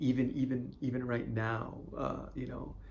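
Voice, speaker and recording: Speaking very slowly, a man is heard with audible room echo around his voice. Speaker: video blogger on stuttering. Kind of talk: personal vlog monologue. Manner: stutter; halting, with fillers and repetitions.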